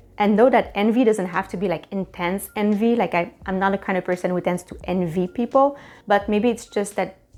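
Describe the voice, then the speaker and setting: A woman with a Quebec accent, moderate pace and fairly even intonation, music playing in the background. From Quebec, Canada. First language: French. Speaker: life coach and YouTuber. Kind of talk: self-help tutorial.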